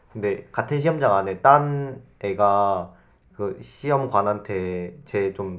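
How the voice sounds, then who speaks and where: A man with an ordinary speaking voice talks at a fairly low pitch with ordinary pitch variation. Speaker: university student guest. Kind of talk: casual panel discussion with students.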